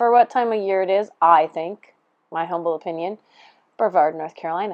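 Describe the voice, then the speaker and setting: A woman speaks loudly. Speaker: yarn shop owner. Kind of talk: casual chat. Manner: animated.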